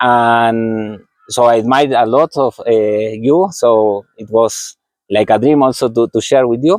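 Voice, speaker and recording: A man speaks at a fairly slow pace and medium pitch with ordinary pitch variation. The sound is dry and close, with no echo. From Argentina. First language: Spanish. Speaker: physiotherapist and running coach. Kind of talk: interview. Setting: outdoors under a tree. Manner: halting, repeats words.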